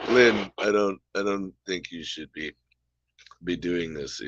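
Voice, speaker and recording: A man speaks in a put-on character voice that is raspy and very deep, at a fairly slow pace with big swings in loudness. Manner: worried, cautioning.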